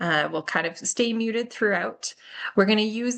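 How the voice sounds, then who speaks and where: Her voice is a normal speaking voice, a woman's at medium pitch with ordinary pitch variation. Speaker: physiotherapist. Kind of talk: online presentation. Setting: video call.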